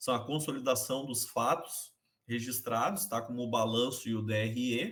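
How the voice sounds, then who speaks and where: A man with a plain, everyday voice speaks at a medium pitch and a moderate pace, with ordinary pitch variation. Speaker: accounting teacher. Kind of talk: online class lecture.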